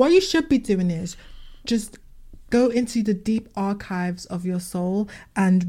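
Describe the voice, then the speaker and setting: A woman's somewhat breathy, dark, mellow voice at a medium pitch, with ordinary pitch variation and a fairly slow pace. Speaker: podcast co-host. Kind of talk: casual chat. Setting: video call.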